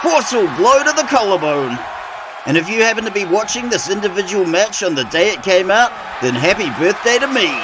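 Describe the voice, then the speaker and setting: Over crowd noise in the background, a man with a New Zealand accent speaks in a high, animated voice with very wide pitch swings at a moderate pace. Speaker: wrestling commentator. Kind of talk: live commentary.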